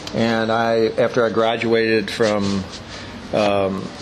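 A man with an American accent talks in a monotone, flat intonation, with audible room echo and noticeable background noise. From Maryland, Hagerstown. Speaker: dobro luthier. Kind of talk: interview. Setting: eating gelato at a shop.

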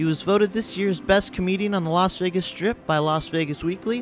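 Over background music, a man with a high pitch speaks at a fairly quick pace and with ordinary pitch variation. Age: 20s. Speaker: podcast host and comedian. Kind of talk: podcast intro; casual interview chat. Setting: in Las Vegas.

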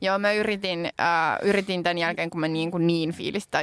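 A woman with an ordinary speaking voice talks at a fairly slow pace with a fairly low pitch and fairly even intonation, the sound dry and close with no echo on a very clean recording with a silent background. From Finland. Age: 30s. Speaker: podcast co-host and politician. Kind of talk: casual chat. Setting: studio.

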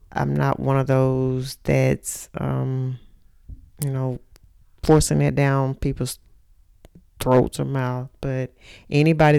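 Speaking very slowly, a woman is heard. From Texas, Mount Pleasant. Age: 40s. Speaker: podcast host's mother. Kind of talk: casual interview about life story.

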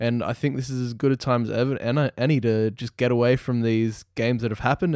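A man with an Australian accent talks at a fairly quick pace and a medium pitch, his intonation monotone and flat. The sound is dry and close, with no echo. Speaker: football podcast co-host. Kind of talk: casual chat. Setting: remote call.

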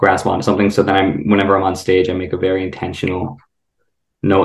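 A man's low, monotone, flat voice with vocal fry and an American accent, in audible room echo.

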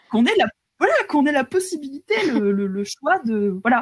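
A woman's somewhat breathy voice with very wide pitch swings, dry and close with no echo. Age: 30s. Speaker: video game scriptwriter. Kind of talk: casual interview. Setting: live stream.

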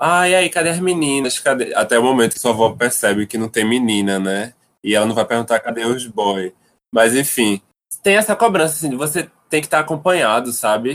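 A man with a normal speaking voice, medium pitch, lively intonation and a fairly quick pace. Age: 20s. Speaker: visual artist. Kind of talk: casual chat.

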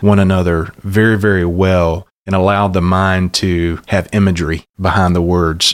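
A man with a Southern US accent talks at a moderate pace in a very deep, low pitch with monotone, flat intonation. The recording is very clean, with a silent background and a dry, close sound with no echo. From US South, southeast Alabama. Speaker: pastor. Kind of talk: interview. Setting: studio.

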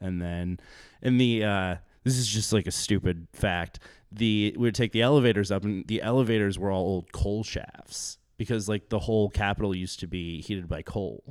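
A man speaks at a moderate pace in a fairly low pitch with ordinary pitch variation, on a very clean recording with a silent background. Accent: American. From US Midwest, South Dakota small town. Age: 30s. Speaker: podcast guest, former Senate page. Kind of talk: casual chat. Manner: halting, filler-heavy.

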